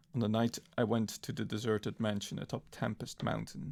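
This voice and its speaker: A man is speaking. His voice has vocal fry. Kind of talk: audiobook-style reading of a horror story. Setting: live-streamed reading by a virtual avatar streamer. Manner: wooden, stumbling over words occasionally.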